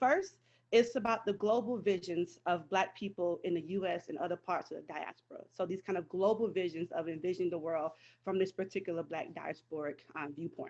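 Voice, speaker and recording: With ordinary pitch variation, a woman talks at a medium pitch. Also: fairly quick pace. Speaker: history professor. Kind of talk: lecture. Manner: fast.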